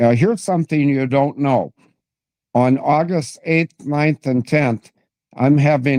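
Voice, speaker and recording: With a dark, mellow tone and medium pitch, a man speaks at a fairly slow pace with ordinary pitch variation, in a dry, close sound with no echo. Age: 70s. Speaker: political commentator guest. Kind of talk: interview, casual chat. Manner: halting.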